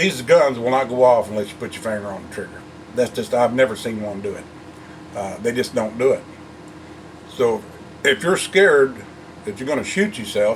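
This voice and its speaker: Over noticeable background noise, a man at medium pitch talks at a moderate pace with lively intonation, big swings in loudness, and long, frequent pauses. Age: 60s. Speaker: gun owner vlogger. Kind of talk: casual talk to camera. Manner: halting, many fillers.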